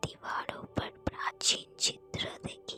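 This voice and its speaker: Music can be heard in the background. Over it, a woman whispers. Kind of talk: ASMR story narration. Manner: soft, slow.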